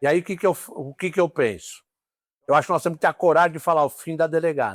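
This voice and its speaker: A very fast, fairly high male voice with vocal fry and ordinary pitch variation, dry and close with no echo, in a very clean recording with a silent background. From São Paulo city, Brazil. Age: 60s. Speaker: police ombudsman. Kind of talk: interview.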